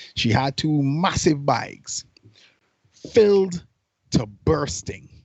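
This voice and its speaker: Somewhat breathy and animated, this man's voice sits at a medium pitch. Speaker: podcast co-host. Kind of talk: casual chat. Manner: animated storytelling.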